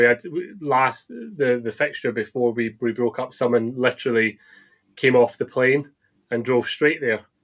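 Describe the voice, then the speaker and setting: A moderate pace and fairly even intonation in a Scottish accent. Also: man. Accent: Scottish, nondescript, taken for Edinburgh. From eastern Scotland (Balmedie, Arbroath, Dundee). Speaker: football fan, supporters club member. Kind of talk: casual chat. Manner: halting, repeats words.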